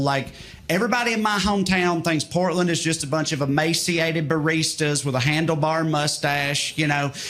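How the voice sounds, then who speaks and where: Against noticeable background noise, a man with a Southern US accent speaks in a high pitch. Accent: Southern American. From rural Tennessee. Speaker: stand-up comedian. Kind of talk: stand-up comedy set.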